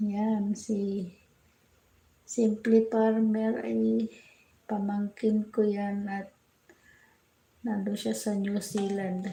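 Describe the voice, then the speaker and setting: A soft-spoken, somewhat breathy voice with a dark, mellow tone, monotone and flat in intonation, at a very slow pace with long, frequent pauses. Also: woman, medium pitch for a woman. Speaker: livestreamer. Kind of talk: casual livestream chat with viewers. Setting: livestream from home kitchen. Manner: soft-spoken, keeping voice down. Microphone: hard to hear, quiet.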